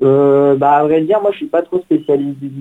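This man's voice sits fairly high and moves through ordinary pitch variation. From Paris region, France. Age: 20s. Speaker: runner, race winner. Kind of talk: radio interview. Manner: hesitant, many fillers.

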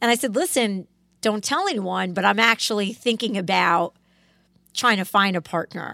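With an American accent and some vocal fry, a woman speaks at a moderate pace in a medium pitch with ordinary pitch variation, on a very clean recording with a silent background. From Connecticut, US. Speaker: lawyer, law firm founding partner. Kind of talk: casual interview. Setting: studio.

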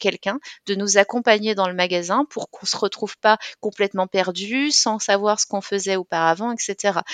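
A plain, everyday voice from a woman, medium pitch, fairly even intonation, fairly quick pace, dry, close sound with no echo. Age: 30s. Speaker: bank manager and author living with dissociative identity disorder. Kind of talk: interview testimony.

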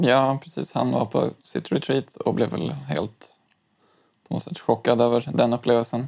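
At a fairly slow pace, a man talks with lively intonation and vocal fry. His pitch is medium. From Umeå, then Stockholm from age eight. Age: 30s. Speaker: high school teacher and zen practitioner. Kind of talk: casual interview. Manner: halting, many fillers and restarts.

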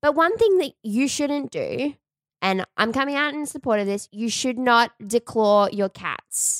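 Lively intonation and a fairly slow pace mark this voice, delivered in an Australian accent. The recording is very clean with a silent background, and the sound is dry and close with no echo. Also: woman, high pitch for a woman. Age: 20s. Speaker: podcast host. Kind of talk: casual chat.

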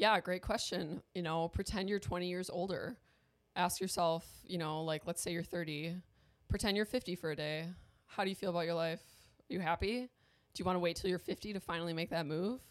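In an American accent, a woman with a fairly low pitch speaks in an ordinary speaking voice with fairly even intonation at a fairly quick pace. The recording is very clean, with a silent background. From US Midwest, Milwaukee, Wisconsin. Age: 20s. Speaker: video influencer. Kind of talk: casual chat.

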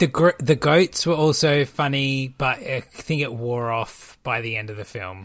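A man with an Australian accent talks at a fairly slow pace, with hardly any pauses. His medium-pitched voice has ordinary pitch variation and big swings in loudness. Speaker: podcast host, TV reviewer. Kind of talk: casual chat.

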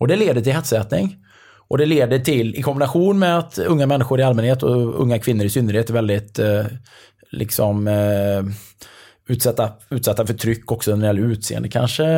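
A man's dark, mellow voice at medium pitch, with lively intonation, very even loudness and a fairly quick pace, on a very clean recording with a silent background. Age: 50s. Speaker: triathlon coach. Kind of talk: casual chat. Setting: indoors at a resort in the evening.

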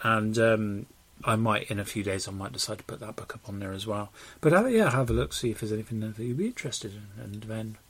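In a very clean recording with a silent background, a man with a fairly low voice talks very fast, his loudness swinging widely. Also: ordinary pitch variation. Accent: British. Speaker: podcast co-host. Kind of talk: casual banter podcast chat.

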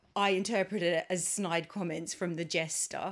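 A woman with an Australian accent talks at a moderate pace in a medium pitch. The recording is very clean, with a silent background. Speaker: podcast co-host. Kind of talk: casual chat. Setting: home recording.

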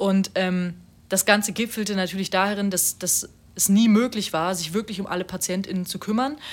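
This woman's medium-pitched voice keeps a fairly even intonation at a moderate pace. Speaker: podcast co-host, student. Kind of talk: casual chat. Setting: home recording in a flat. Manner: gets louder when worked up.

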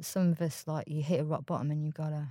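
In a very clean recording with a silent background, a woman speaks with a very deep, low pitch and a dark, mellow tone. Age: 40s. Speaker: recovering gambling addict. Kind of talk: testimony.

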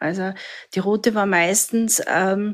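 A woman's voice rests at a medium pitch, its intonation fairly even. Nothing can be heard behind her in this very clean recording, the background silent. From Austria, southern Styria. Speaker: survivor of domestic violence. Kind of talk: personal testimony. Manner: halting.

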